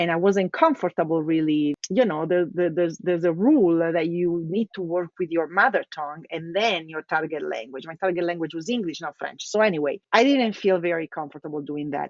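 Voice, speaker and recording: A woman's fairly low voice with an Italian accent, at a moderate pace. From Italy, Milan. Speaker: localization executive. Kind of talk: casual interview chat. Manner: talkative.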